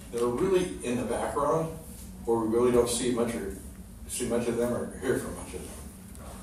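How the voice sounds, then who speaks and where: Noticeable background noise and audible room echo surround a man speaking at a moderate pace in a medium pitch. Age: 70s. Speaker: real estate agent and seminar presenter. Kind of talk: educational seminar talk.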